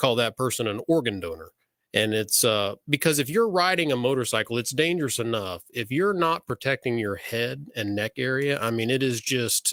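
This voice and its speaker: In a dry, close sound with no echo, a man with an ordinary speaking voice talks at a moderate pace and medium pitch, using lively intonation and an American accent. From Central Florida, Winter Haven. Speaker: radio host and attorney. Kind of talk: call-in radio show.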